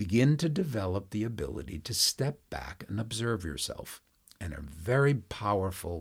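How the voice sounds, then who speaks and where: A man's fairly low, somewhat breathy voice at a moderate pace, with very wide pitch swings. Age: 70s. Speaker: yoga and meditation teacher. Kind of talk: casual conversational teaching.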